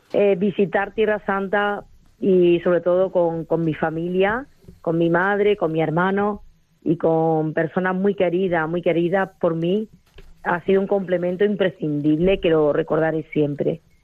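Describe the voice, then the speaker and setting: A woman with an Andalusian accent speaks at a fairly low pitch, keeping fairly even intonation and very even loudness. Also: fairly slow pace. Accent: Andalusian, noticeable. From Andalusia, Spain (Arjonilla, Jaén). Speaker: pilgrim. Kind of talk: phone testimony. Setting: phone call.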